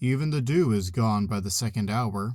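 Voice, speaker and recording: A man does a put-on character voice at a medium pitch and moderate pace. The recording is very clean, with a silent background. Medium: read story.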